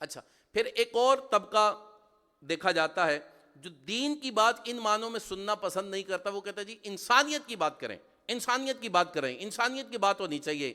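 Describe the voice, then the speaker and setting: This man's raised, projected voice sits high for a man, with lively intonation and big swings in loudness. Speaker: Islamic preacher. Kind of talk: sermon. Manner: animated.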